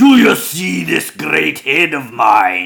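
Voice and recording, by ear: A raspy, put-on character voice at a very slow pace. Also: man.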